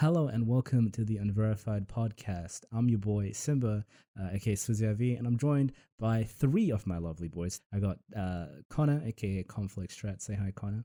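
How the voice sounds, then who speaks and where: A dark, mellow voice with an American accent, a fairly quick pace and ordinary pitch variation. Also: man, fairly low pitch for a man. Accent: fluctuates between American and British. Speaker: podcast host. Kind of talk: casual chat.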